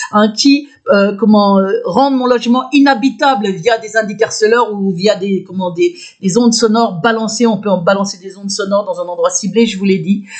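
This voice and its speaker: A woman's pitch varies in an ordinary way while noticeable background noise is present. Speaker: video blogger. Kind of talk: personal testimony monologue. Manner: loud; halting, many fillers and restarts.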